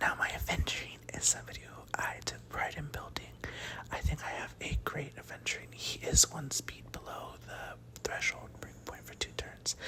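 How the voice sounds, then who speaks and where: A whispering voice comes through over noticeable background noise. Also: moderate pace. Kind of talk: ASMR gaming talk. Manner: soft-spoken.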